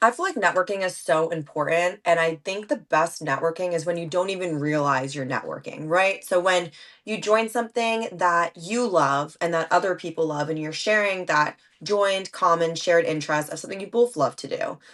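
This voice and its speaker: In an American accent, the voice moves at a fairly quick pace with hardly any pauses and ordinary pitch variation over a quiet background. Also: woman, fairly low pitch for a woman. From New Jersey, Monmouth County. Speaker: podcaster. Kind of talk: casual chat. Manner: fast.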